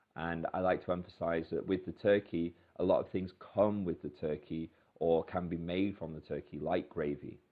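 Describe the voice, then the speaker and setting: Monotone, flat delivery from a man with a British accent, very deep and low in pitch, at a moderate pace. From Britain. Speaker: English teacher. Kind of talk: tutorial. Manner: hesitant, many fillers.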